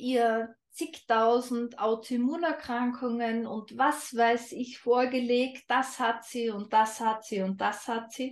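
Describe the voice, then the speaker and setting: A woman speaks in a high voice with a slight Austrian accent. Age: 30s. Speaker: holistic health coach. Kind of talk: interview.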